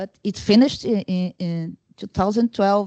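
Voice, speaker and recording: A woman is heard in a dry, close sound with no echo. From Brazil. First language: Portuguese. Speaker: conference discussant. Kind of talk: academic discussion. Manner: halting, many fillers and restarts.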